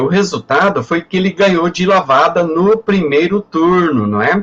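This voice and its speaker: A man speaks at a fairly slow pace with hardly any pauses, his high voice moving with ordinary pitch variation. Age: 60s. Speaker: professor. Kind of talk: lecture. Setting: webinar.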